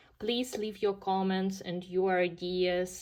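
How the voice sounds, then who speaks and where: A woman talks at a fairly slow pace. She has a Ukrainian accent. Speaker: coloring hobby YouTuber. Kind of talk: casual video monologue showing completed pages. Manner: hesitant, many fillers.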